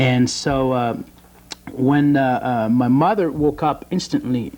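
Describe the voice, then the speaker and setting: This man speaks with a French accent at a medium pitch. His pitch varies in an ordinary way. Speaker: bodybuilder and youth mentor. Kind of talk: TV interview. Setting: TV studio. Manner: halting, many fillers.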